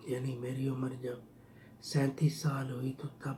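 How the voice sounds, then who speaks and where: A man speaks at a medium pitch. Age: 60s. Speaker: vlogger telling his life story. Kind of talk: personal storytelling.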